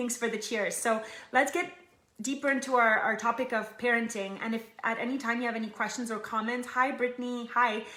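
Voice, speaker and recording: With audible room echo and noticeable background noise, a woman talks at a fairly quick pace in a fairly high pitch with fairly even intonation. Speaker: online group founder and live show host. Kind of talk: live stream talk to audience. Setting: live video stream. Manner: fast.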